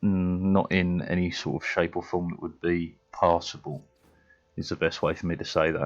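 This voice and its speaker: A man speaks with a very deep, low pitch. His delivery is monotone and flat at a moderate pace. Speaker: gaming streamer. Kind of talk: casual live stream chat.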